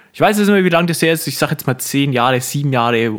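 Very fast speech from a man at a fairly high pitch with ordinary pitch variation. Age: 20s. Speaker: podcast co-host. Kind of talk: casual chat. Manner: animated.

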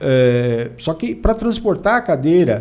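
Moving at a fairly slow pace, a man's voice makes very wide pitch swings. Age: 50s. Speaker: tax exemption consultant, wheelchair user. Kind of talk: casual interview chat.

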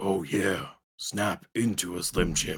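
In a put-on character voice, a man talks at a fairly slow pace with a raspy, gravelly, fairly low-pitched sound.

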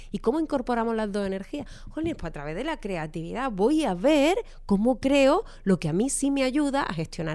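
Speaking with an Andalusian accent, a woman has a high-pitched voice with a dark, mellow tone and very wide pitch swings. The recording is very clean, with a silent background. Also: moderate pace. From Andalusia, Málaga. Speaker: economist and financial coach. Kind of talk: interview.

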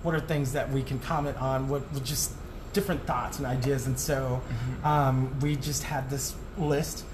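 The speaker has an American accent. Noticeable background noise and audible room echo are present. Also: man, medium pitch for a man, fairly even intonation, moderate pace. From Arizona (Tucson). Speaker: entertainment producer and performer. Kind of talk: casual interview. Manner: hesitant, many fillers.

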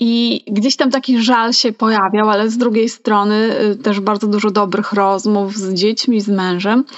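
Her intonation fairly even, a woman speaks at a moderate pace in an unremarkable speaking voice with fairly high pitch. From Poland, Mazovia, small town. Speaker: podcast co-host, hobby writer. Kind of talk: casual chat.

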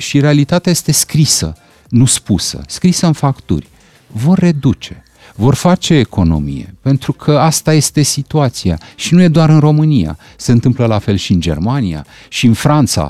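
The voice has a calm, dark, mellow tone, very wide pitch swings and very even loudness at a fairly slow pace, recorded with a dry, close sound with no echo. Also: man, medium pitch for a man. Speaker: political commentator. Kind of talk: radio interview.

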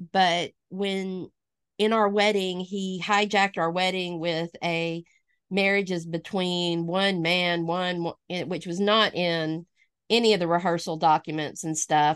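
In a dry, close sound with no echo and a quiet background, a woman speaks fairly slowly at a fairly low pitch. She has a slight Alabama accent and a flat, monotone delivery. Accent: slight Alabama Southern. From US South, northwest Alabama. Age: 40s. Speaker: pastor. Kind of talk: casual interview.

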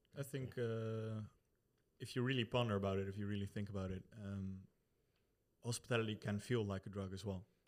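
A man with a Dutch accent speaks at a fairly low pitch and a fairly quick pace, with fairly even intonation. Long, frequent pauses punctuate his speech. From Netherlands. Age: 20s. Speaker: brewer, former hospitality worker. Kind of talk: casual chat.

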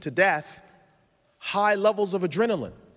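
A high-pitched male voice at a moderate pace. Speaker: Islamic scholar giving a talk. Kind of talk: conference lecture. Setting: conference stage with audience.

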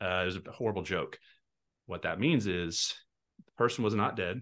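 An unremarkable speaking voice in an American accent, its pitch varying in an ordinary way. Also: man. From Texas. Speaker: real estate team leader and investor. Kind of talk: podcast interview.

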